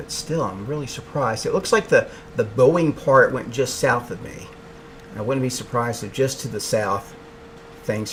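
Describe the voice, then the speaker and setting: A quiet man speaks at a moderate pace with an American accent. Noticeable background noise runs underneath. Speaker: meteorologist. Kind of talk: live weather coverage. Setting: home office.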